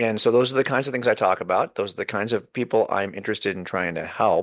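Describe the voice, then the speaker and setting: A man of medium pitch speaks very fast, with ordinary pitch variation, against a quiet background. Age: 60s. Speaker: author and apologist, former law enforcement. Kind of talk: casual chat. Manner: halting, with frequent repetitions.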